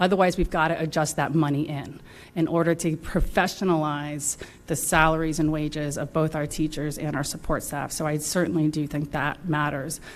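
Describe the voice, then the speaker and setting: A woman with an American accent speaks at a moderate pace in a very deep, low voice, her intonation flat and monotone. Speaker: school board member. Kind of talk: community forum panel.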